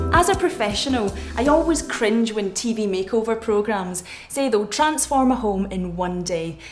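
A woman speaks at a moderate pace in a fairly high voice, with faint music in the background. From Scotland. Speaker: TV presenter. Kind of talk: home makeover show presenting. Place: home room.

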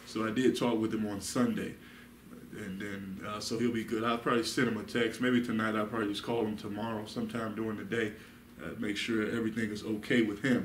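Speaking fairly quickly in a flat monotone, a man is heard with audible room echo and light background noise. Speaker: Bible study teacher. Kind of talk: sermon. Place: meeting room. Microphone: camera far.

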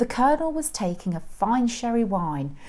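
A woman at a moderate pace with very wide pitch swings. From England. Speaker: school head of English teacher. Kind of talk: poetry reading. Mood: expressive, playful storytelling. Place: classroom.

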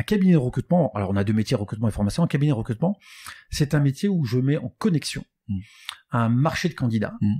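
In a very clean recording with a silent background, a somewhat breathy man talks very fast with very wide pitch swings, the sound dry and close with no echo. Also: medium pitch for a man. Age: 50s. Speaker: recruitment firm founder. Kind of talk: interview.

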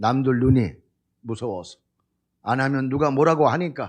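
Over a quiet background, a man with a fairly high pitch talks at a fairly slow pace. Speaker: pastor. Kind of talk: sermon.

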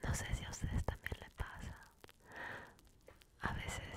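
A soft-spoken woman whispers over loud background noise. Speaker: ASMR creator. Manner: soft close-mic ASMR whisper. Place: home room. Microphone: studio mic.

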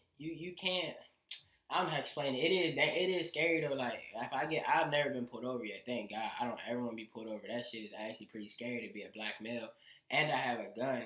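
A man talks at a very fast pace in a medium pitch, with ordinary pitch variation. The room has an audible echo, but the background is quiet. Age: young. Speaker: musician. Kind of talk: casual chat. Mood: relaxed, earnest. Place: home room.

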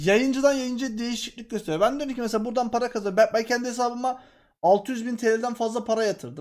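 An extremely high-pitched man's voice with ordinary pitch variation, a fairly quick pace, and a very clean recording with a silent background. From Turkey, Mediterranean region. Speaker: game streamer. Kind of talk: casual chat.

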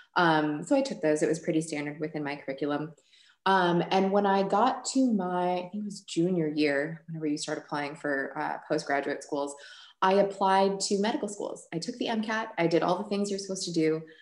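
In an American accent, a woman speaks at a fairly low pitch with ordinary pitch variation, against a quiet background with audible room echo. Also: moderate pace. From Chicago, US Midwest. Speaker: biochemist; guest. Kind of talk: Q&A workshop. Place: home room. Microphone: webcam.

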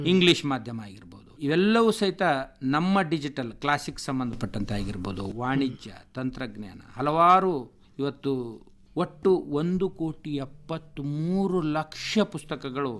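Fairly high male voice with very wide pitch swings and big swings in loudness. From north Karnataka, India (Bidar district, Basavakalyan taluk village). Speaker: government library official. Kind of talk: radio interview.

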